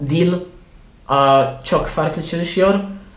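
A man's very slow speech with lively intonation, in audible room echo. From Poland. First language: Polish (speaking Turkish). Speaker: language student. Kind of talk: casual interview. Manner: halting, many fillers.

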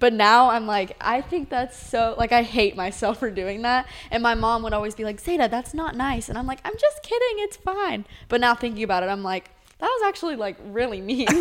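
A woman talks in a plain, everyday voice at a fairly quick pace. Her pitch is fairly high, with ordinary pitch variation. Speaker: cheerleader. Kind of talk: casual chat.

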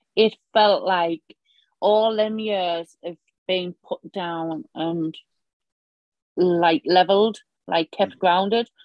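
In a Northern Irish accent, the speaker goes at a very slow pace with long, frequent pauses and fairly even intonation. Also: woman, medium pitch for a woman. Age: 40s. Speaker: cold water swimmer. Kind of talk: casual interview.

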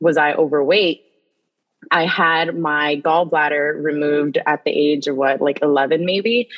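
This speaker talks at a fairly slow pace with fairly even intonation in an American accent. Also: woman. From New York City, the Bronx. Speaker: nutrition educator. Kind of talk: casual interview conversation.

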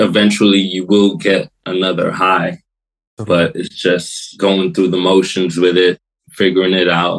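A man with a New York accent speaks at a very deep, low pitch. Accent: New York American. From New York and Florida, US (Brooklyn). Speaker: hip-hop producer. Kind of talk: casual interview chat.

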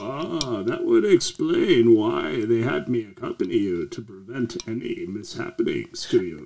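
Putting on a character voice, a man talks at a moderate pace with hardly any pauses. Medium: actual play. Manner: formal, stiff, proper.

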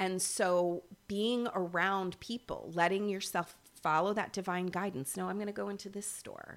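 A woman with an American accent and a normal speaking voice, medium in pitch, at a moderate pace with fairly even intonation. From US Midwest, Michigan. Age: 50s. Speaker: energy healer. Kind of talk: casual chat.

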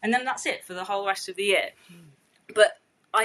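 A woman with a British accent, medium in pitch, bright and sharp in tone, at a moderate pace. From England, of East African Gujarati family. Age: 30s. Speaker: chef. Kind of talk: casual chat. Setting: home, by a street.

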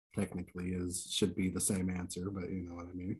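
A man speaks in a very deep, low pitch, his voice somewhat breathy. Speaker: game show host. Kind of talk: game show host reading survey questions and ruling on answers.

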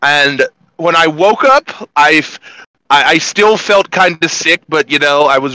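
A man's bright, sharp tone, dry and close with no echo. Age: 30s. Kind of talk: casual chat.

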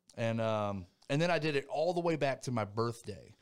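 A plain, everyday voice from a man with an American accent, medium in pitch, at a moderate pace, in a very clean recording with a silent background. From North Carolina, Thomasville. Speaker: retired army soldier. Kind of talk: interview.

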